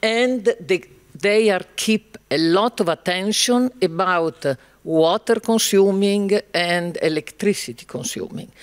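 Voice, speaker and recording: A man's high voice with an Italian accent, very slow and with ordinary pitch variation, in a dry, close sound with no echo. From Italy. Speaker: panel moderator. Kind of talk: panel discussion.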